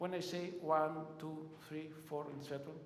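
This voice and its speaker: A man with a non-native accent and fairly high pitch, at a fairly slow pace, with audible room echo. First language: not English. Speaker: conference presenter. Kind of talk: lecture. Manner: halting.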